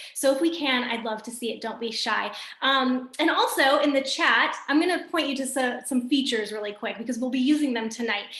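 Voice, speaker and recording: A speaker with an American accent talks at a fairly quick pace with ordinary pitch variation. Noticeable background noise and audible room echo surround the voice. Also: woman, high pitch for a woman. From US Midwest, Michigan. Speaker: wellness business coach, former teacher. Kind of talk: video call presentation. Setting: video call. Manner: casual, upbeat.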